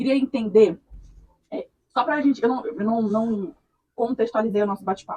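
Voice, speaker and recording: A dark, mellow tone at a moderate pace, with ordinary pitch variation and long, frequent pauses. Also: woman, fairly high pitch for a woman. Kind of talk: interviewer questions.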